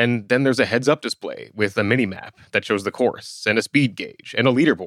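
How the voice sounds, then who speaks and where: A man talks at a fairly quick pace with hardly any pauses. His is a normal speaking voice, medium in pitch with ordinary pitch variation. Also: dry, close sound with no echo. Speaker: reporter and co-host. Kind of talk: scripted narration.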